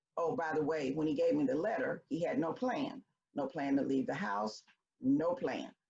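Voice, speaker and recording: Speaking in a Memphis accent, a woman with a fairly low voice and vocal fry makes very wide pitch swings. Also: moderate pace. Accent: Southern US (Memphis). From US South, Memphis, Tennessee. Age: 70s. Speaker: storyteller. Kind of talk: personal storytelling.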